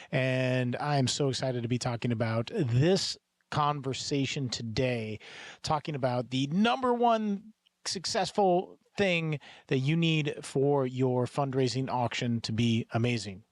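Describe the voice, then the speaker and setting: In a very clean recording with a silent background, a man has a plain, everyday voice, a medium pitch with ordinary pitch variation, very even loudness and a fairly slow pace. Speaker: professional fundraising auctioneer and podcast host. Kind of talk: podcast monologue. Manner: calm, confident, upbeat.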